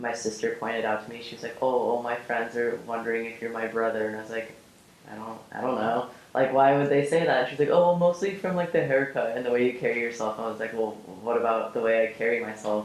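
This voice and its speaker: A man with an American accent talks at a very fast pace in a medium pitch with ordinary pitch variation and big swings in loudness, with noticeable background noise and audible room echo. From Oregon, suburb of Portland. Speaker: interviewee in documentary. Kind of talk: personal testimony interview.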